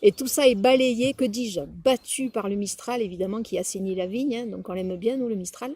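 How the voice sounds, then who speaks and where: With a slight Provençal accent, this speaker has a dark, mellow tone, sounds somewhat breathy, and moves at a moderate pace with big swings in loudness. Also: woman, fairly high pitch for a woman, ordinary pitch variation. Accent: southern French (Provençal), slight. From Provence, Drôme provençale, France. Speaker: wine taster. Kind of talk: wine tasting commentary. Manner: hesitant, with fillers.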